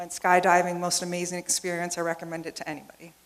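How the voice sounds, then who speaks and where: A woman talks fairly quickly over noticeable background noise. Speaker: engineering project manager. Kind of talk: conference presentation.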